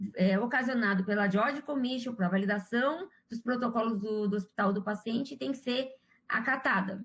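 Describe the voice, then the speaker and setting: A woman talks at a moderate pace with a fairly high pitch and ordinary pitch variation. It is an unremarkable speaking voice. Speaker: surgical instrumentation instructor. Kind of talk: live quiz class.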